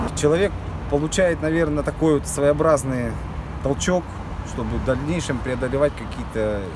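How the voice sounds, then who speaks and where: Over loud background noise, a man speaks at a moderate pace with ordinary pitch variation in a dry sound with no echo. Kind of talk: interview answer. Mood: calm, modest, reflective. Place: street.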